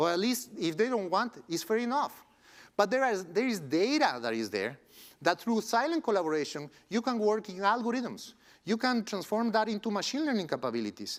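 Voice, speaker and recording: A man with a Spanish accent, high pitch and lively intonation at a fairly quick pace, on a very clean recording with a silent background. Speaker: tech company co-founder. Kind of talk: conference keynote talk.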